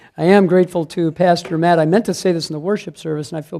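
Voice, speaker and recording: On a very clean recording with a silent background, a man with a high pitch and a dark, mellow tone talks at a very fast pace. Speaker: pro-life speaker and teacher. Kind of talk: church class talk. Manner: animated.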